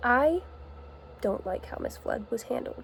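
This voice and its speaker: Soft-spoken and at a moderate pace, a woman is heard over noticeable background noise. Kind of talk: soft-spoken ASMR-style rambling talk to camera. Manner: soft-spoken, casual.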